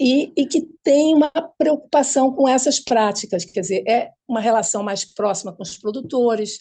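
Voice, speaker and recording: Her voice has a dark, mellow tone, and the woman uses ordinary pitch variation. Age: 80s+. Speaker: urban gardening activist. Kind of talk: panel discussion. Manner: halting.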